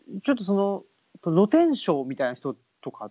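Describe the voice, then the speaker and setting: Moderately paced male speech with pitch that leaps up and down very widely. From Saitama, Japan (born Tokyo). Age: 30s. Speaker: podcast host. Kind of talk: casual chat. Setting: Skype call.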